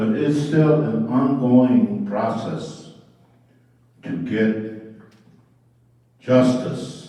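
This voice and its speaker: In a Northern Plains accent, a man talks at a very slow pace with long, frequent pauses. His medium-pitched voice moves in very wide pitch swings. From Dakota community, US Upper Midwest. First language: Dakota. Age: 80s+. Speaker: Dakota translator and Presbyterian minister. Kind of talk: conference presentation. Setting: language summit presentation. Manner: halting, many fillers.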